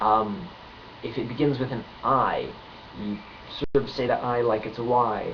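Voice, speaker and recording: Over noticeable background noise, a man speaks very slowly at a medium pitch. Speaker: language teacher. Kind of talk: casual tutorial talk to camera. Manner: hesitant, many filler words.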